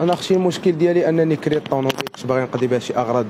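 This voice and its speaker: The speech runs at a very fast pace with ordinary pitch variation over noticeable background noise. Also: man. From Morocco. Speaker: fraud victim. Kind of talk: street interview. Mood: aggrieved, complaining. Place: street. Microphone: handheld.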